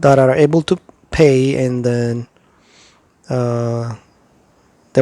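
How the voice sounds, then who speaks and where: A man speaks with an Ethiopian accent at a medium pitch and a very slow pace. The sound is dry and close, with no echo. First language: Amharic. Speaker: YouTuber giving visa advice. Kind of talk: tutorial. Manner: halting, many fillers.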